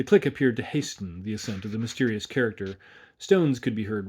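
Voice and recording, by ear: A passage is read aloud in a natural voice.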